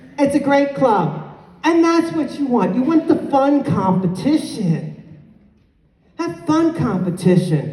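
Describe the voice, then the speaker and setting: Through audible room echo, a woman speaks at a fairly slow pace with very wide pitch swings. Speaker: conference speaker. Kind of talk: conference keynote address. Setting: stage with audience. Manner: animated.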